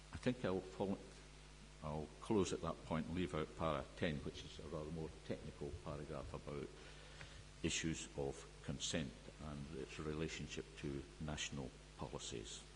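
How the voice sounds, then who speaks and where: Vocal fry marks a man's very deep, low voice, which moves with lively intonation at a moderate pace. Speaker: expert witness at a planning inquiry. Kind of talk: inquiry evidence and cross-examination. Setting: public inquiry hearing room. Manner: loud; formal.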